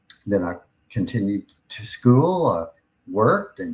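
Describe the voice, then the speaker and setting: A man talks with an American accent at a medium pitch. His voice is somewhat breathy. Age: 60s. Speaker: podcast host and pain patient. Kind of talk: personal testimony.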